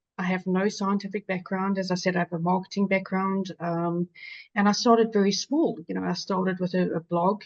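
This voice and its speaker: Speaking in a South African accent, a woman uses a medium pitch and monotone, flat intonation at a moderate pace. The sound is dry and close with no echo, over a quiet background. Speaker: patient advocate, infection survivor. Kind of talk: webinar panel discussion.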